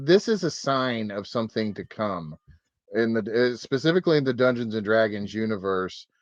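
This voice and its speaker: A man with lively intonation. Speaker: podcast co-host. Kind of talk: casual chat. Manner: halting.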